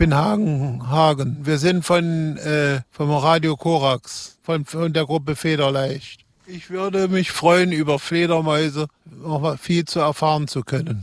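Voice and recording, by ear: A man talks at a fairly slow pace. His pitch is fairly high. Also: ordinary pitch variation.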